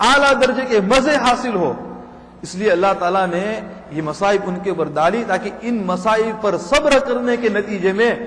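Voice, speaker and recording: Lively intonation from a man, with noticeable background noise and audible room echo. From England, Leicester. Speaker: Islamic scholar. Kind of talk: religious lecture.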